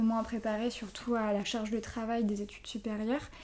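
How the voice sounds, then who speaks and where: Noticeable background noise sits behind a woman's voice. She has a fairly high pitch and a moderate pace. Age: 20s. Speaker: ASMR YouTuber and intensive care nurse. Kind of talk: casual interview.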